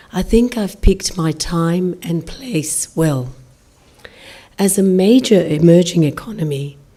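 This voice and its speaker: Over noticeable background noise, a woman with a fairly low pitch talks at a fairly slow pace with lively intonation. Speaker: diplomat. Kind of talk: formal speech. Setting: lecture hall with audience. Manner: formal.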